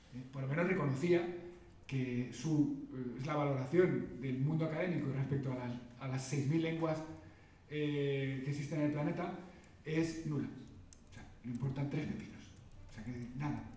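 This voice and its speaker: Noticeable background noise and audible room echo surround a man speaking in a fairly high pitch with fairly even intonation. His pace is moderate, broken by long, frequent pauses. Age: 50s. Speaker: linguist and secondary school teacher. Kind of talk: lecture. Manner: halting.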